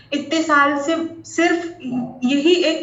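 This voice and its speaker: Audible room echo surrounds a woman as she speaks. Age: 30s. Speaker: former student turned assistant professor. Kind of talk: testimonial. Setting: video call. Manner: halting.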